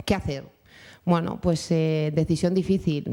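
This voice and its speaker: A dark, mellow tone carries the speech at a moderate pace. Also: woman. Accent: Bilbao. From Spain, Bilbao (Basque Country). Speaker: mother of a deaf child, panelist. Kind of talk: round-table testimony. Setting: conference panel with audience.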